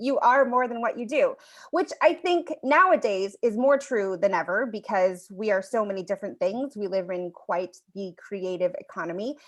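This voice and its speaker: With lively intonation and hardly any pauses, a woman with an unremarkable speaking voice and fairly high pitch talks at a moderate pace against a quiet background. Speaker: storyteller and workshop leader. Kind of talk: online workshop presentation.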